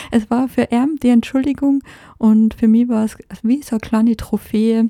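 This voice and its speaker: Monotone and flat, a woman speaks at a moderate pace in a fairly high pitch. Her tone is dark and mellow, and the sound is dry and close with no echo. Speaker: podcast host. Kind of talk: solo podcast monologue. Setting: recording in France.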